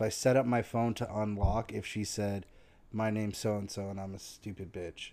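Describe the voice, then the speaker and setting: A man's fairly low voice, dark and mellow in tone, flat and monotone, at a moderate pace. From Tennessee. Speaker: podcast co-host. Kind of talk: casual chat.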